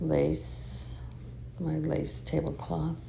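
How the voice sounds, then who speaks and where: The voice is quiet, with fairly even intonation. Noticeable background noise and audible room echo are present. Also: woman. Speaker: home decor vlogger. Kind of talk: casual home tour. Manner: quiet, talking low.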